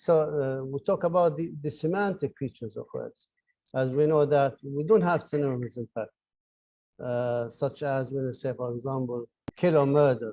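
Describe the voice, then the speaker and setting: A man's fairly high voice, with ordinary pitch variation, carries along at a moderate pace. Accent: Arabic. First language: Arabic. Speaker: professor. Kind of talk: lecture. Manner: halting, many fillers and repeated words.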